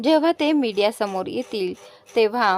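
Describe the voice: The intonation is lively while someone plainly reads aloud.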